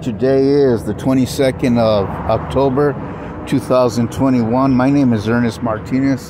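A man speaks at a fairly slow pace with fairly even intonation. The sound is dry with no echo, over noticeable background noise. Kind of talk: complaint monologue to camera. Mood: aggrieved, complaining. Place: street. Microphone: phone near.

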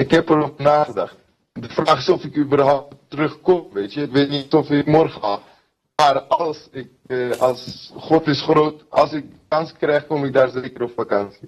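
A man's somewhat breathy voice, fairly even in intonation, at a fairly slow pace. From Kurdistan. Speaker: fighter. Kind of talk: interview. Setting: video call. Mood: earnest, sometimes smiling.

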